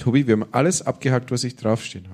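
A man talks at a fairly quick pace in a medium pitch. He has a slight Franconian accent. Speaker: podcast host, music scene advisor. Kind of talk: live interview with audience. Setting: stage with audience.

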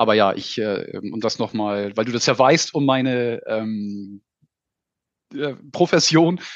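A man at a medium pitch, ordinary pitch variation, and a very slow pace. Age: 40s. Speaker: insurance sales manager. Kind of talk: casual interview.

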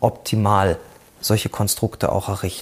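A man speaks in a somewhat breathy voice. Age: 40s. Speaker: cooperative founder and business consultant. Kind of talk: presentation talk.

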